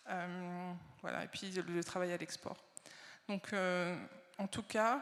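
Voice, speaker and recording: Her intonation stays monotone and flat. This woman's voice is at a medium pitch. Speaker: industry association research director. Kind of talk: conference keynote. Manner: hesitant, many fillers.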